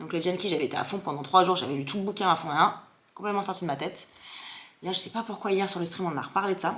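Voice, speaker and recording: At a medium pitch, a woman talks very fast in an animated tone. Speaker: content creator. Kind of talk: casual vlog chat.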